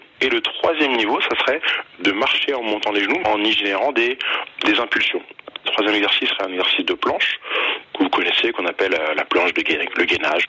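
A man speaks at a fairly quick pace. Noticeable background noise is heard behind him. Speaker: fitness coach. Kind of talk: tutorial. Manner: formal; methodical.

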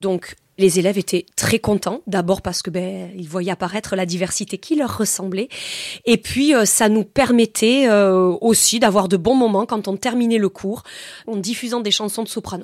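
A woman with a plain, everyday voice and medium pitch speaks at a fairly slow pace with ordinary pitch variation, on a very clean recording with a silent background and a dry, close sound with no echo. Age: 30s. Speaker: science teacher. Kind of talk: testimony.

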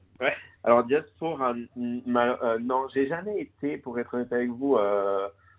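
The speaker is a man with a medium pitch. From Corsica (Cervione). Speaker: business professional, cross-border commuter. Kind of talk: radio interview. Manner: halting, many hesitations.

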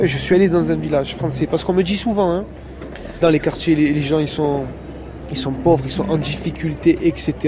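A man talks at a moderate pace with long, frequent pauses. Noticeable background noise is present. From northern Marseille. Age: 20s. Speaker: shepherd. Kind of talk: casual interview. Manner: halting.

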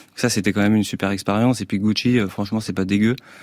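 The recording is very clean, with a silent background. A man speaks at a fairly low pitch in a monotone, flat intonation. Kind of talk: casual interview. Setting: radio studio.

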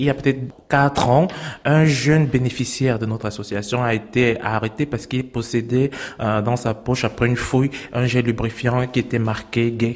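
With a plain, everyday voice, a man talks at a moderate pace in a medium pitch, keeping his intonation fairly even. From Cameroon. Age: 30s. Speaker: LGBT refugee and activist. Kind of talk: interview testimony.

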